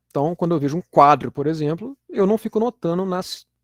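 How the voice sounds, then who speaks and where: Here a man speaks at a moderate pace with lively intonation. The sound is dry and close with no echo, a very clean recording with a silent background. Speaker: university lecturer. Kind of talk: lecture. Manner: casual, with frequent fillers and repetitions.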